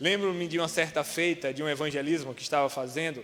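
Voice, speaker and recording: Audible room echo surrounds a man whose fairly high pitch has ordinary pitch variation. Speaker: preacher. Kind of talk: sermon. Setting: church.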